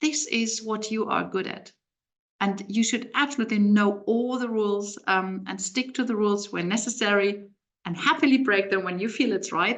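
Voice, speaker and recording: A woman with a German accent talks at a moderate pace. Her medium pitch shows ordinary variation. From Germany. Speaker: translation agency owner and webinar presenter. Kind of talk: webinar presentation. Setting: live video webinar.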